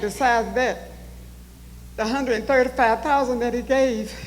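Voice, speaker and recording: With noticeable background noise and audible room echo, a woman talks at a fairly quick pace, her fairly high pitch held in fairly even intonation. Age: 70s. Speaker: town hall attendee. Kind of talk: public comment. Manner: emotional, pleading.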